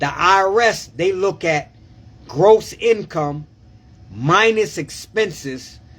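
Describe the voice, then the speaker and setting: A loud, animated man's voice with ordinary pitch variation. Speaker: tax preparer. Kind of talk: live stream tax advice. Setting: live video stream.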